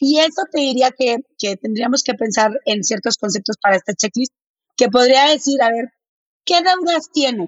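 A woman with a northern Mexican accent speaks at a moderate pace, high-pitched and with lively intonation. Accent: northern Mexican, blunt-sounding. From Mexico, Monterrey. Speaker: finance educator. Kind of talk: interview.

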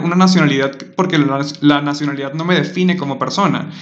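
With a Venezuelan accent, a man talks very fast with ordinary pitch variation, amid audible room echo and noticeable background noise. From Venezuela (Maturín). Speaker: podcast host. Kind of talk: casual chat.

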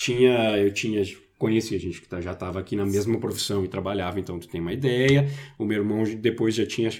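A man's fairly low voice at a fairly quick pace, with big swings in loudness, on a very clean recording with a silent background. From Brazil. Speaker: IT professional. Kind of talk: casual chat. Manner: halting.

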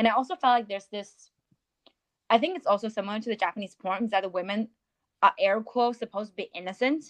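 With a Chinese accent, a woman speaks very fast at a fairly high pitch with ordinary pitch variation and long, frequent pauses, the sound dry and close with no echo. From China. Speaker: podcast co-host. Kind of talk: casual chat.

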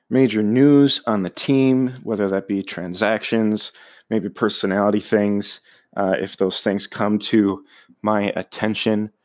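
On a very clean recording with a silent background, a plain, everyday voice speaks at a fairly slow pace with fairly even intonation. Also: man, fairly low pitch for a man. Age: 20s. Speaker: podcast host, sports fan. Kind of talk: solo podcast monologue. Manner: casual with frequent fillers.

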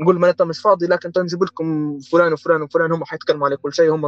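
Fairly quick speech in a Tripoli Libyan accent, with a dry, close sound with no echo and music in the background. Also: man. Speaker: architect and project manager. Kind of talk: casual interview.

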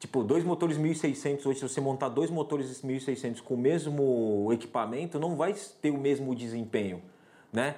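A man speaks at a moderate pace and a fairly high pitch. His tone is dark and mellow, with ordinary pitch variation. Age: 40s. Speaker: podcast host. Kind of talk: casual chat.

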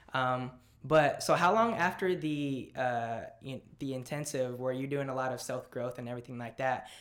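In a normal speaking voice, a man with a medium pitch talks at a fairly quick pace with fairly even intonation. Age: 20s. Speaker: podcast host. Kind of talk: casual interview.

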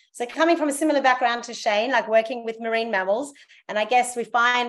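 This woman has an Australian accent and ordinary pitch variation. The background is quiet. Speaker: zoo welfare and training coordinator. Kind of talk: casual interview.

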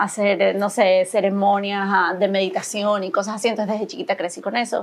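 In an ordinary speaking voice, a woman with a medium pitch talks at a moderate pace with fairly even intonation. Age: 40s. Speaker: spiritual mentor and yoga teacher. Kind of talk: casual interview chat.

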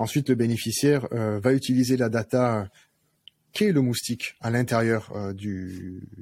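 A man's plain, everyday voice with ordinary pitch variation. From southern France, Arles (Provence). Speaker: company founder. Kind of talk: interview.

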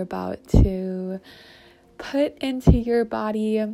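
Noticeable background noise surrounds a woman speaking in a warm, soothing tone. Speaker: meditation guide. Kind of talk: guided meditation. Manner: slow, soothing, calm and gentle pacing with pauses; warm, inviting, gently affirming.

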